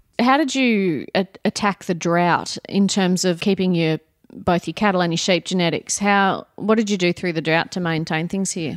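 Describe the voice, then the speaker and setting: A woman with an Australian accent speaks at a moderate pace with hardly any pauses, a medium pitch and ordinary pitch variation, in a very clean recording with a silent background. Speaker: veterinarian interviewer. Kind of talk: casual interview. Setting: kitchen table at home.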